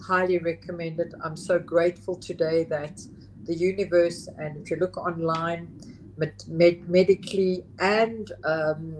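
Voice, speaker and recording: A woman's fairly low voice at a fairly slow pace, with fairly even intonation and big swings in loudness. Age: 60s. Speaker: psilocybin facilitator. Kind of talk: interview. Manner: halting.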